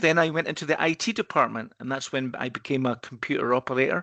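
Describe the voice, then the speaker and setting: In a Scottish accent, a bright, sharp tone races along at a very fast pace over a quiet background. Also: man, dry, close sound with no echo. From Scotland, Edinburgh. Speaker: risk consultancy partner. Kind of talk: podcast interview. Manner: hesitant, repeats words.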